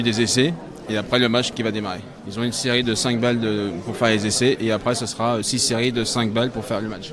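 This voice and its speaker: Over noticeable background noise, a man rattles along at a very fast pace in a medium pitch, his intonation monotone and flat. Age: 40s. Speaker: sport shooting coach and father of competitor. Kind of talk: casual interview. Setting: shooting range at championship.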